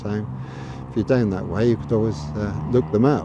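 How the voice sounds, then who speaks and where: A man with a Gloucestershire accent speaks at a fairly low pitch. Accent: southern English (Gloucestershire). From Gloucestershire, England. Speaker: local video blogger. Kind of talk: casual walking tour narration. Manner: hesitant, many fillers.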